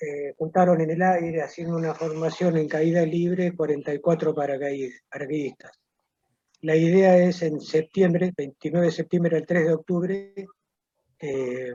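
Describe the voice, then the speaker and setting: A man speaks in a fairly high voice with a dark, mellow tone. His intonation is fairly even, and his pace is moderate. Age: 70s. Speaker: war veteran. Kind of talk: interview.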